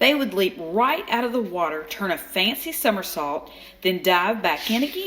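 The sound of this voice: Unforced reading voice, intonation lively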